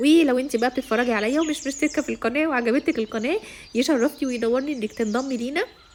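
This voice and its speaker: An Egyptian accent at a fairly quick pace, with hardly any pauses and ordinary pitch variation. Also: woman, high pitch for a woman. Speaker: vlogger. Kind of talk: casual vlog talk to camera.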